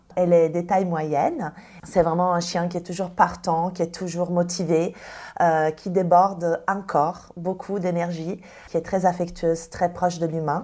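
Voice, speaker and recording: A woman speaks at a fairly slow pace with an Italian accent. Her fairly low voice has a dark, mellow tone and a monotone, flat intonation. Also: very clean recording, silent background. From Italy. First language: Italian (speaking French). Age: 30s. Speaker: dog trainer and professional dog walker. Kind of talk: podcast interview.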